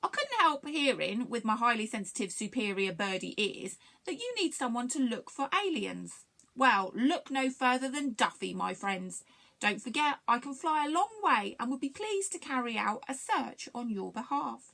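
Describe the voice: Putting on a character voice, a woman uses a fairly high pitch with big swings, a bright, sharp tone and vocal fry, keeping a moderate pace with few pauses.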